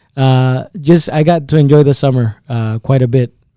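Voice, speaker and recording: A man with a Spanish accent speaks at a medium pitch in a dark, mellow tone. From El Salvador, San Salvador; moved to Iowa at about 10. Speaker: insurance agent. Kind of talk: podcast interview. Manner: halting, repeats words.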